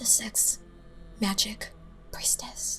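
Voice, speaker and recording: A woman is speaking while music plays in the background. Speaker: spiritual podcaster. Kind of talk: spiritual monologue. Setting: in her room.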